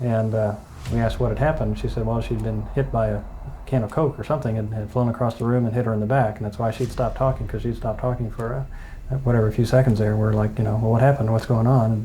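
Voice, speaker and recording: Very fast and monotone, a man with a Midwestern American accent speaks at a medium pitch in a dark, mellow, somewhat breathy tone. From Ohio, USA. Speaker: eyewitness to a reported haunting. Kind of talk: interview answer.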